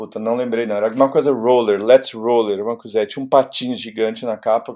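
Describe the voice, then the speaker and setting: Here a man talks at a medium pitch. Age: 50s. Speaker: music journalist and DJ. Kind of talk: casual chat. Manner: halting.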